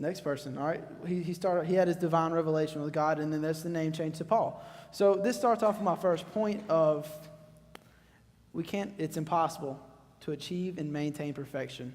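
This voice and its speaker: Recorded with audible room echo, the speaker has a Southern US accent and ordinary pitch variation. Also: man, fairly high pitch for a man, moderate pace. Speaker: youth speaker. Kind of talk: sermon. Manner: loud; casual, conversational.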